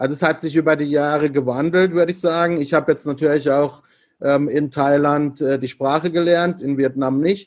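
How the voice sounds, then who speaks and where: With flat, monotone intonation, a man speaks at a moderate pace and fairly high pitch against a quiet background. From Freiburg, southwest Germany. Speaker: entrepreneur and business consultant. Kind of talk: interview.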